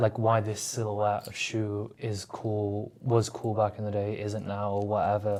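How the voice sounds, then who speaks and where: On a very clean recording with a silent background, a man talks at a fairly slow pace. His intonation is flat and monotone. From northern England, Manchester. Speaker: streetwear store founder. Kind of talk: casual podcast interview. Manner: casual, filler-heavy.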